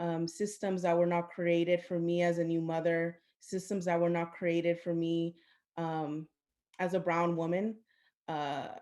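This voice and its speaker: In a very clean recording with a silent background, a woman with a Spanish accent speaks at a fairly low pitch and a fairly slow pace, her tone dark and mellow and her intonation flat and monotone. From US, Central American family. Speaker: maternal health program manager, panelist. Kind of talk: panel discussion.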